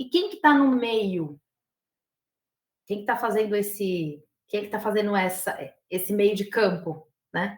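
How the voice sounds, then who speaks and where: Speaking with a rural São Paulo accent, a woman with a medium-pitched, somewhat breathy voice goes at a fairly slow pace, with ordinary pitch variation, big swings in loudness and long, frequent pauses. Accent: São Paulo countryside (caipira). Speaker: university professor, lobbying expert. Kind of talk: lecture.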